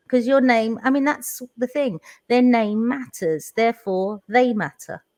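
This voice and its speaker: A woman with a London accent speaks at a high pitch and a fairly slow pace, with ordinary pitch variation. The sound is dry and close, with no echo. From London, England. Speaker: teacher. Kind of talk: live online panel chat.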